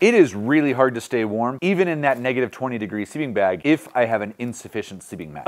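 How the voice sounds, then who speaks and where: A man talks at a fairly quick pace with lively intonation against a quiet background. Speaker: outdoor gear reviewer. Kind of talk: tutorial. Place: home room.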